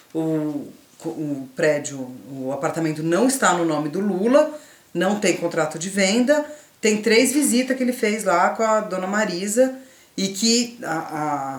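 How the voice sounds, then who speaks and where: Over noticeable background noise and audible room echo, a woman at a medium pitch speaks at a fairly slow pace with very wide pitch swings. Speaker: youtuber. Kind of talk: didactic casual conversation. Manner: stutters sometimes.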